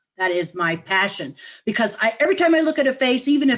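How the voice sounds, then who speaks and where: Her high-pitched voice moving quickly, a woman speaks in an animated tone with lively intonation. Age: 70s. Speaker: facial exercise coach. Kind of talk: interview.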